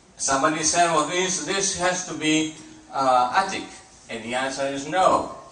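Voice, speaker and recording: Moderate-paced speech from a man at a fairly high pitch, with ordinary pitch variation, noticeable background noise, and audible room echo. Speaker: lecturer on ancient Greek dialects. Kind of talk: conference presentation. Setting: convention hall with audience. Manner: hesitant, many fillers.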